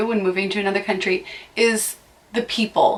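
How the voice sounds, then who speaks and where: A woman's plain, everyday voice with an American accent, fairly high pitch, and moderate pace. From US, near Boston, Massachusetts. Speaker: vlogger. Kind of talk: casual vlog monologue. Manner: chatty, with frequent fillers.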